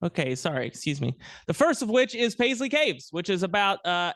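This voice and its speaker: Loud and fairly quick, a man speaks with very wide pitch swings over a quiet background. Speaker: archaeologist, guest lecturer. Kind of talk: lecture. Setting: planetarium with audience, mic.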